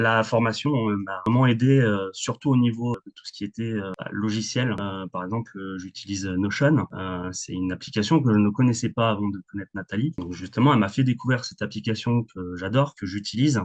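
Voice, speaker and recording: Fairly quick, fairly low-pitched male speech with hardly any pauses, ordinary pitch variation and big swings in loudness, in a dry, close sound with no echo. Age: 30s. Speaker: administrative and sales assistant for builders. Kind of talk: testimony. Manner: hesitant, many fillers.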